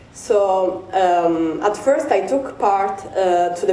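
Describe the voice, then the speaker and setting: With an Italian accent and lively intonation, a woman speaks through audible room echo and noticeable background noise. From Italy. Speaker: PhD researcher. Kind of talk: conference presentation. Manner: halting, many fillers.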